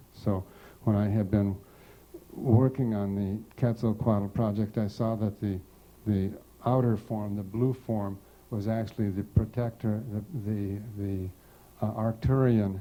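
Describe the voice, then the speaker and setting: A man with a dark, mellow tone and fairly low pitch speaks at a fairly slow pace in a monotone, flat intonation, with long, frequent pauses. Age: 60s. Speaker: seminar teacher. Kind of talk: lecture. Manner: halting.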